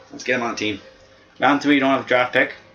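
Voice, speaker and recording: A man speaks with music in the background. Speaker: gaming youtuber. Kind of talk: gameplay commentary. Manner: casual, hesitant with fillers.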